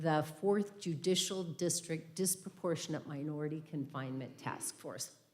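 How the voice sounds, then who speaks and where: The speech moves at a fairly slow pace with ordinary pitch variation and audible room echo. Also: woman. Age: 60s. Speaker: retired judge and guest speaker. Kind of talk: church talk, personal reflection. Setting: church service, livestreamed.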